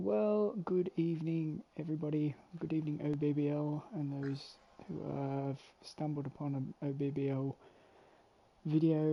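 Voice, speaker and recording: A soft-spoken man with an Australian accent talks at a moderate pace, leaving long, frequent pauses. His pitch is fairly high and his intonation fairly even. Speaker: sports commentator. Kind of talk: live commentary. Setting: home.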